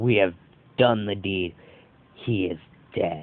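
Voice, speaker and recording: In a put-on character voice, a man growls at a fairly slow pace with a fairly low pitch. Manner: monotone, prideful.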